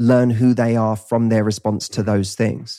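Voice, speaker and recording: On a very clean recording with a silent background, a man with a Cockney accent speaks at a moderate pace in a dark, mellow tone. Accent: Cockney, London English. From east London, England. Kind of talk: casual interview chat.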